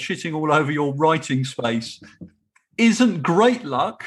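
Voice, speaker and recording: A man with an English accent and a fairly high pitch speaks at a fairly slow pace, his intonation lively. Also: quiet background. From England. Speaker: podcast host. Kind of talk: casual chat.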